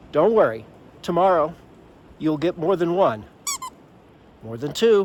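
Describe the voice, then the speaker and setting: A man's lively intonation and fairly slow pace come through noticeable background noise. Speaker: hiking vlogger. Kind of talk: solo vlog talking to camera. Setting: outdoors at a campsite. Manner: quiet, hushed.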